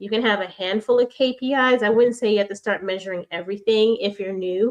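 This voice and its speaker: In a plain, everyday voice of medium pitch, a woman with an American accent speaks at a fairly quick pace with fairly even intonation. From New York. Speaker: business speaker. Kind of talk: presentation.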